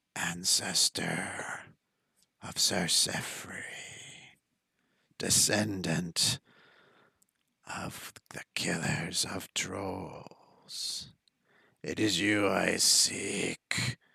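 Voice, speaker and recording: A put-on character voice, low-pitched and raspy, moves at a very slow pace with long, frequent pauses. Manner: menacing, vengeful.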